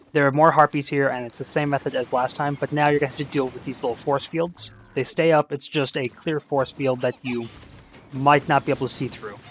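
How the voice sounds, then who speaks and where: Noticeable noise runs underneath talk that goes along fairly quickly. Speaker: gaming video creator. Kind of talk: game tutorial commentary. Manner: casual with fillers.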